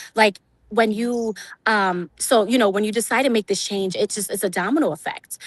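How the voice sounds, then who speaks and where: An ordinary speaking voice: a woman with an American accent, medium pitch, a fairly quick pace, and a dry, close sound with no echo over a quiet background. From New York, Brooklyn. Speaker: entrepreneur. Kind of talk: interview. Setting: outdoors by a lake.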